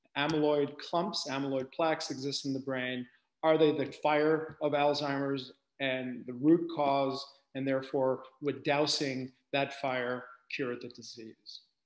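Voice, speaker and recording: The man's intonation is monotone and flat, at a fairly slow pace. There is audible room echo. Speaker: medical researcher giving lecture. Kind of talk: lecture. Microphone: webcam.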